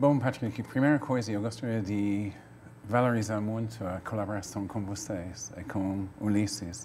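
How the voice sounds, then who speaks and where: Speaking at a fairly slow pace, a man with a fairly low voice keeps his intonation fairly even. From Wales. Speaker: playwright and cultural activist. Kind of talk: TV interview.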